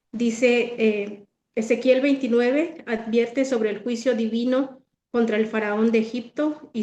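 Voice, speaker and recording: A woman's fairly high, dark, mellow voice, fairly slow and fairly even in intonation. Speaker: Bible study presenter. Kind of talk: Bible study talk. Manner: halting, many fillers.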